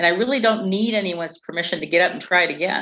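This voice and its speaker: Pitch moves in an ordinary way here. It is an unremarkable speaking voice. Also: woman. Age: 60s. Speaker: community organizer. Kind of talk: interview.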